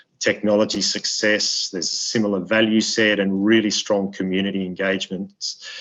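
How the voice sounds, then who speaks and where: A man with an Australian accent speaks at a fairly low pitch. His pace is moderate and his intonation monotone and flat. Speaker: ambassador. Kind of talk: webinar speech. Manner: halting with many repetitions.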